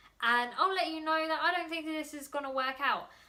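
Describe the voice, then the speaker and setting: A woman with a London accent raises and projects her voice. She speaks at a fairly quick pace. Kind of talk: casual vlog. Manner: fast.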